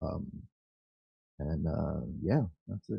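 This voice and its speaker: A man with an American accent and vocal fry, at a very slow pace. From New Jersey (Paterson). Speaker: guest. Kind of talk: casual chat.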